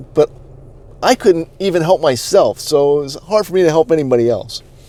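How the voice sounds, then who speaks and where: This man has a fairly high pitch and a slight New England accent. He talks at a fairly quick pace with lively intonation. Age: 40s. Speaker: online marketing coach. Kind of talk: personal story. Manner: halting.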